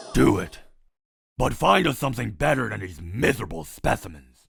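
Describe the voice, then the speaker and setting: Putting on a character voice, a man talks fairly quickly in a raspy, very deep, low register. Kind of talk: comic dub, multiple character voices. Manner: gruff, demanding.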